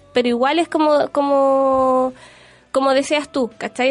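A woman speaks with a Chilean accent. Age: 30s. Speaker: beauty blogger. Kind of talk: casual chat. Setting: studio.

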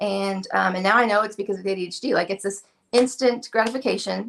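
A woman speaks in a normal speaking voice at a fairly quick pace. Her pitch varies in an ordinary way. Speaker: furniture painter and video creator. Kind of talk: casual interview chat.

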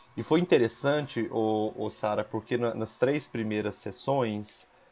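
A man delivers his words very slowly, his medium-pitched voice holding a fairly even intonation. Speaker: teacher hosting school podcast. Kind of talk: interview.

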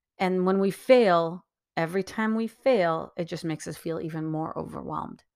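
This voice moves at a moderate pace with ordinary pitch variation. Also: woman, fairly low pitch for a woman. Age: 40s. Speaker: podcast host. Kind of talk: solo monologue. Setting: at home.

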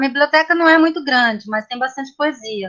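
Lively intonation in a woman's raised, projected voice with a bright, sharp tone. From São Paulo city, Brazil. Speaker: poet and art teacher. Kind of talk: casual chat. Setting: video call.

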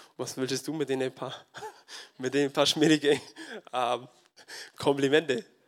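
A man with a fairly high pitch speaks in a monotone, flat way, leaving long, frequent pauses. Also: fairly slow pace. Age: 20s. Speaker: farmer and lay preacher. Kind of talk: sermon. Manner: halting.

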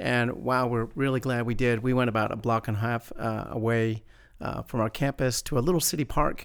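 In a very clean recording with a silent background, a man with a plain, everyday voice speaks at a fairly quick pace, his medium pitch following a fairly even intonation. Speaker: church minister podcast host. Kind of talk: casual faith discussion. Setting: church campus.

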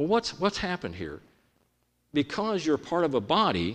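Against a quiet background, a man's voice shows vocal fry and very wide pitch swings. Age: 60s. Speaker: preacher. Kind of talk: sermon. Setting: church.

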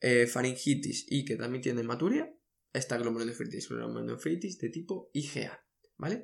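A man talks at a moderate pace in a medium pitch, with ordinary pitch variation. Vocal fry runs through his voice. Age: 20s. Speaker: medical education podcaster. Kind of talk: lecture.

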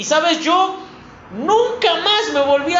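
A man talks fairly slowly, with audible room echo and noticeable background noise around him. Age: 30s. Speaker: preacher. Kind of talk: sermon.

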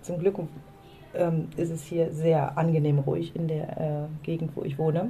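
Speaking at a fairly slow pace, a woman with a very deep, low pitch is heard over noticeable background noise and audible room echo. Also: fairly even intonation. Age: 40s. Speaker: podcast co-host, coach. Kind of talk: casual chat. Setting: outdoors on a balcony.

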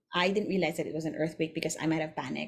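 A woman with a Filipino accent and a fairly low pitch. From Philippines. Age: 40s. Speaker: podcast host. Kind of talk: casual monologue.

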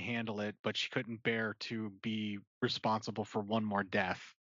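This is a man speaking. His pitch is medium. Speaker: podcast host. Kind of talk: casual chat. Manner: animated.

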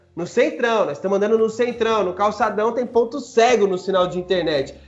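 Over music in the background, a man speaks at a moderate pace with an extremely high pitch. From Brazil, Guarulhos (São Paulo). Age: 30s. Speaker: political candidate for city council. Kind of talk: podcast interview. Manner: casual, slangy.

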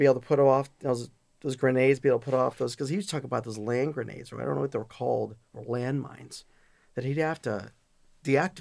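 A man with an American accent talks very fast at a medium pitch. His intonation is fairly even, with vocal fry. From Chicago area, US. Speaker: data center company CEO. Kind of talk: casual interview. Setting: studio.

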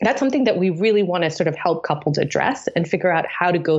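Against noticeable background noise, a woman speaks very fast at a fairly low pitch with lively intonation. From Tanzania, East Africa. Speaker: tech startup founder. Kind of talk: interview.

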